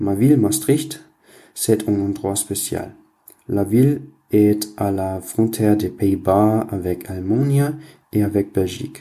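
A man with a German accent and a dark, mellow tone, at a very slow pace with long, frequent pauses and ordinary pitch variation. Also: fairly low pitch for a man. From Germany. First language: German (speaking French). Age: young. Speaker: university student. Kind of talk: recorded listener message.

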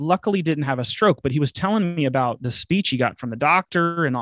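A man's normal speaking voice, fairly high in pitch, on a very clean recording with a silent background. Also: dry, close sound with no echo. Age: 40s. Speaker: chief financial officer. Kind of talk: interview conversation.

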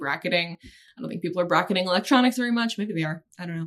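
A woman with an American accent talks at a very fast pace in a fairly low voice. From Maryland (Annapolis). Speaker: business journalist. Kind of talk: casual interview.

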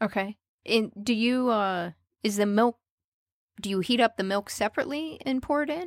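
The speaker has an American accent, lively intonation and a moderate pace with long, frequent pauses. The recording is very clean with a silent background and a dry, close sound with no echo. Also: woman, fairly high pitch for a woman. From United States. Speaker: podcast host. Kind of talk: interview. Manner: animated.

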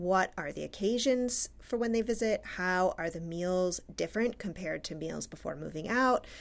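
A normal speaking voice moves at a moderate pace with ordinary pitch variation. The recording is very clean, with a silent background. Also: woman. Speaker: academic researcher and podcast co-host. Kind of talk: casual chat.

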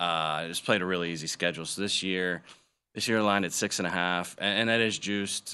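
Speaking at a very fast pace, a man with a very deep, low pitch and a bright, sharp tone keeps his intonation fairly even. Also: quiet background. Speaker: sports betting analyst. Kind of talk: casual sports talk. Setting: studio.

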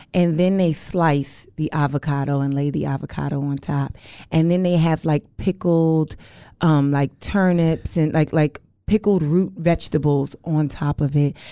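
Recorded very cleanly against a silent background, a woman with an American accent speaks at a very deep, low pitch, with a dark, mellow tone and fairly even intonation. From New York City. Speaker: comedian. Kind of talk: casual chat.

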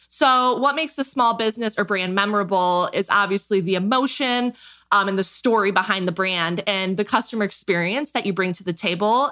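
With a bright, sharp tone, a woman speaks at a fairly quick pace in a medium-pitched voice with ordinary pitch variation. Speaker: design studio owner. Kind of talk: interview.

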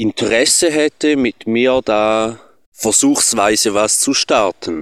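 A calm man with a Swiss German accent, very slow in pace, in a dry, close sound with no echo. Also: very clean recording, silent background. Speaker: listener, reggae DJ. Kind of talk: voice message. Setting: recorded voice message. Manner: calm and slow.

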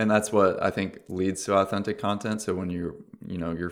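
Talking at a fairly quick pace, a man with a very deep, low pitch and an American accent keeps his intonation fairly even. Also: very clean recording, silent background. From Orange County, California. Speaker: influencer marketing agency co-founder. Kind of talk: interview.

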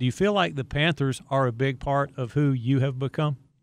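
Using a normal speaking voice, a man talks at a medium pitch and a moderate pace. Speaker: podcast host. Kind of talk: interview chat.

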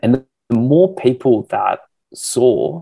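In an Australian accent, a man speaks with a dry, close sound and no echo. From Australia, Canberra. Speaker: fitness entrepreneur and influencer. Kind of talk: casual interview.

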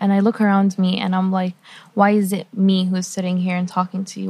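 A woman with a somewhat breathy voice talks at a fairly quick pace and medium pitch. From Lebanon / Qatar (Lebanese Palestinian, raised mostly in Qatar). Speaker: university student. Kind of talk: interview.

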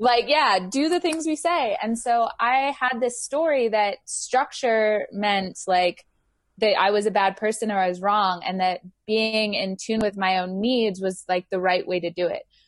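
With an American accent and a plain, everyday voice, a woman talks fairly slowly in a fairly high pitch with lively intonation. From England and Houston, Texas. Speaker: workshop facilitator and yoga teacher. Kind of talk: casual interview chat.

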